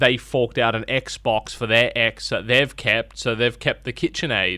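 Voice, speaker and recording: Speaking with an Australian accent, a man has a medium pitch and a bright, sharp tone. Vocal fry runs through his voice. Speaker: radio host. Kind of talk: radio DJ patter, breezy breakfast-show banter with jingles and ad tags. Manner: animated.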